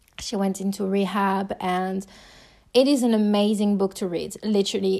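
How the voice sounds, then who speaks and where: On a very clean recording with a silent background, a woman with a French accent speaks in a warm tone at a medium pitch. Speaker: podcast host. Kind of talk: solo personal podcast monologue. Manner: casual, conversational, warm.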